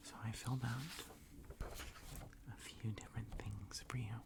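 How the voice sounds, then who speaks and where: A soft-spoken man whispers at a very slow pace. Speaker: dungeon master / ASMR host. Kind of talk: ASMR roleplay, tabletop game character creation. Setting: studio, close mic with typing and page flipping. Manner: soft-spoken, whispering.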